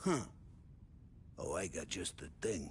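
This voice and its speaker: The speaker uses a put-on character voice that is loud and raspy. Clear background noise can be heard. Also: man. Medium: video game. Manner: loud, jovial.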